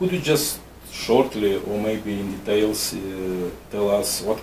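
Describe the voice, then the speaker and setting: A man's fairly low voice in a non-native accent with fairly even intonation, plus audible room echo and noticeable background noise. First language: Russian. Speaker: immigration consultant, interviewer. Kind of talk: interview. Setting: office. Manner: partly reading from paper.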